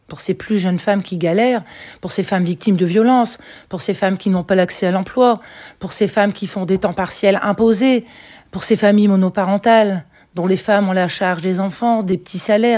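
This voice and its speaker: A woman's medium-pitched voice, dark and mellow in tone, on a very clean recording with a silent background. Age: 60s. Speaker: local politician. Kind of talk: interview.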